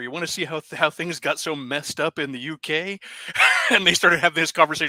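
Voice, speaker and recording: A man talks in a normal speaking voice at a fairly quick pace. His pitch sits fairly high, and the sound is dry and close with no echo. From United States. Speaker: livestream co-host. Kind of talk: casual chat.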